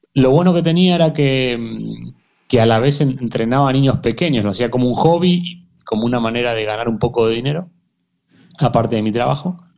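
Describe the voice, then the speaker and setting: A man uses a normal speaking voice at medium pitch with ordinary pitch variation. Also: fairly quick pace. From Argentina, emigrated to Spain at 15. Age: 30s. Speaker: football coach and performance consultant. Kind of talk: interview.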